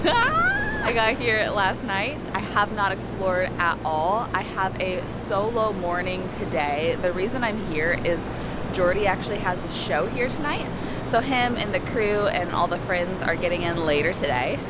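A moderate pace over loud background noise, the sound itself dry with no echo. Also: woman, ordinary pitch variation. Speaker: travel vlogger. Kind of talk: casual vlog chat. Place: garden. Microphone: phone near.

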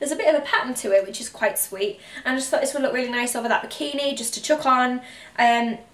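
Speaking very fast, a woman with a high-pitched voice is heard in a room with audible echo. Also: ordinary pitch variation. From County Durham, North East England. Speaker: intensive care nurse and fashion youtuber. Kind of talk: casual talk to camera haul video. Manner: chatty, relaxed. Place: home room. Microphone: camera far.

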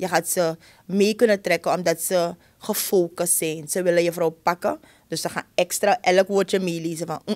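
Her speech is monotone and flat at a fairly low pitch, at a moderate pace. The woman is heard over a quiet background. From Suriname. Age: 30s. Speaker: schoolteacher. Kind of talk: interview conversation. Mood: earnest, passionate about teaching. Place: studio. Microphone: studio mic.

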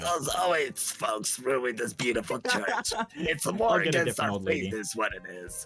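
With clear music in the background, a man puts on a raspy character voice at a fairly high pitch and a fairly slow pace. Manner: disapproving, judgmental.

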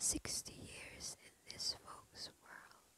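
Whispering comes from a woman. She goes at a very slow pace. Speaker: ASMR creator. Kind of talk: ASMR poetry reading. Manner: whispered. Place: home room. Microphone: studio mic.

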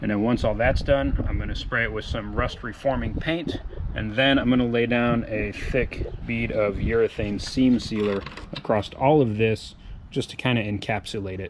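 With noticeable background noise behind him, a man talks at a moderate pace with fairly even intonation. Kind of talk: tutorial. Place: garage. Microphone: phone near.

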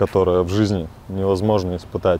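A man at a fairly slow pace, in a dry sound with no echo. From Chelyabinsk, Russia. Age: young. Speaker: recovering drug addict in rehabilitation. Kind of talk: interview answer. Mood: sober, regretful. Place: waterside. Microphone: lapel.

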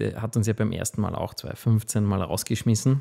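Over a quiet background, a man speaks in a dark, mellow tone with vocal fry. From Austria, Waldviertel (Lower Austria); Lower Austria. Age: 40s. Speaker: food company founder; podcast guest. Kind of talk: interview. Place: studio. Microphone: studio mic.

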